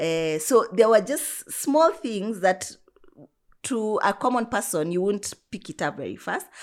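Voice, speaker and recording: A woman with a medium pitch speaks at a fairly slow pace, with very wide pitch swings and big swings in loudness. The recording is very clean, with a silent background. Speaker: PCOS advocate and social media personality. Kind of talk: personal testimony in interview.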